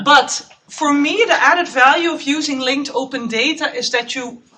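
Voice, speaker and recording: A woman speaks in a raised, projected voice. Her pitch is high, with ordinary variation. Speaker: postdoc researcher. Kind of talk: conference talk.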